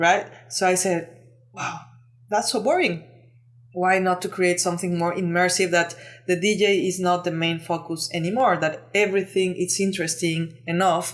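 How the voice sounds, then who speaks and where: A woman speaks with a Mexican accent at a fairly low pitch. Her intonation stays fairly even. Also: moderate pace. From Mexico. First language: Spanish. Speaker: lighting designer and entrepreneur. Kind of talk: podcast interview. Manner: halting, many fillers.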